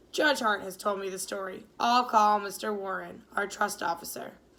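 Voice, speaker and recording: A woman puts on a raspy character voice. Her pitch is medium and her pace moderate. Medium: read story. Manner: dignified, measured.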